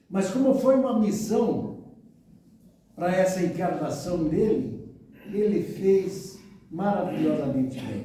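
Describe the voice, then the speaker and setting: A man with a high pitch and lively intonation, very slow pace and long, frequent pauses, with audible room echo and noticeable background noise. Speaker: spiritist lecturer. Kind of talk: lecture.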